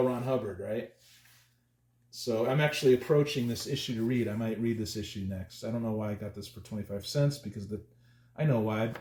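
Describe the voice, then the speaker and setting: A man's mumbling, somewhat breathy voice with a dark, mellow tone, medium pitch, and ordinary pitch variation. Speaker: comic book collector youtuber. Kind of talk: casual chat. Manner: halting.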